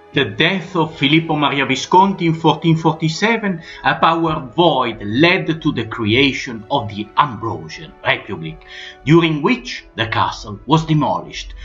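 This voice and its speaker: Music plays in the background. The speech moves at a moderate pace with lively intonation. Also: man, fairly high pitch for a man. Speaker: history narrator. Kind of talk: documentary narration.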